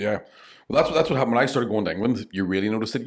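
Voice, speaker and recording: A man with a Northern Irish accent speaks at medium pitch. The recording is very clean, with a silent background. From Northern Ireland. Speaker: stand-up comedian. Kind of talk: podcast interview answer. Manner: casual, candid.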